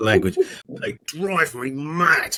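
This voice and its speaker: Recorded dry and close with no echo, a man with a southern English accent speaks with very wide pitch swings. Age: 60s. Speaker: podcast co-host, retired stockbroker. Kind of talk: casual chat.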